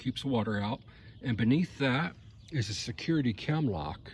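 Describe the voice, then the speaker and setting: Somewhat breathy, the man's medium-pitched voice shows ordinary pitch variation. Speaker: ebike owner reviewing his bike. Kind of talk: casual talk to camera. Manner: hesitant, stammering.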